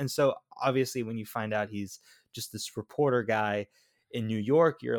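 Medium-pitched man with an American accent, a normal speaking voice and ordinary pitch variation, the sound dry and close with no echo on a very clean recording with a silent background. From Florida. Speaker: podcast co-host. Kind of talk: casual chat.

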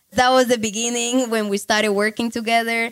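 A woman with a Colombian accent speaks at a fairly high pitch in a very clean recording with a silent background. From Cali, Colombia. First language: Spanish. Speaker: online marketing entrepreneur. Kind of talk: interview. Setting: recorded in Cali, Colombia.

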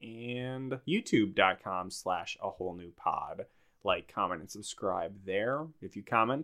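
A plain, everyday voice from a man of medium pitch with an American accent, fairly slow pace, ordinary pitch variation and big swings in loudness. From Minnesota. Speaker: podcast host. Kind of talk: casual chat; show outro housekeeping.

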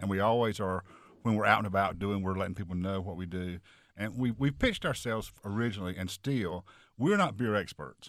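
In a very clean recording with a silent background, a man with an ordinary speaking voice and a fairly low pitch speaks at a fairly quick pace with ordinary pitch variation. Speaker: beer website creator. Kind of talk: interview.

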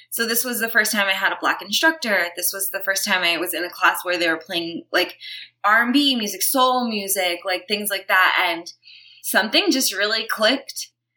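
At a moderate pace, a woman speaks in an ordinary speaking voice with a medium pitch and ordinary pitch variation. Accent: American. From Brooklyn, New York. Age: 30s. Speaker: yoga teacher and activist. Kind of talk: interview.

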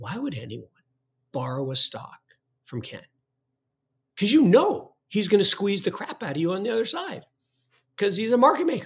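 At a moderate pace, a man talks with long, frequent pauses and big swings in loudness. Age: 60s. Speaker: finance podcast co-host. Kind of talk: casual chat.

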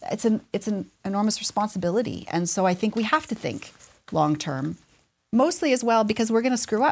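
Talking at a fairly quick pace, a woman with a Canadian accent uses lively intonation at a fairly high pitch, with vocal fry. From Calgary, Alberta, Canada. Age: 40s. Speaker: head of an independent school. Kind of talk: interview.

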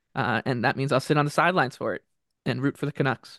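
A man's fairly high, unremarkable speaking voice at a fairly quick pace with fairly even intonation, dry and close with no echo against a quiet background. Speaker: hockey editor and podcast host. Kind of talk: casual chat. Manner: conversational, filler words.

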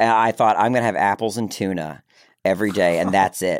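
The recording is very clean, with a silent background, and a man talks. He has an American accent. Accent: slight Southern-sounding. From Maryland, Baltimore. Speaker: actor and filmmaker. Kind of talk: casual chat. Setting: studio.

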